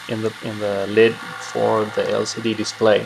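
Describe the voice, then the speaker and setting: A man with a non-native accent speaks at a fairly slow pace over noticeable background noise. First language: not English. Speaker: electronics hobbyist. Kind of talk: improvised build commentary. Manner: hesitant, many filler sounds.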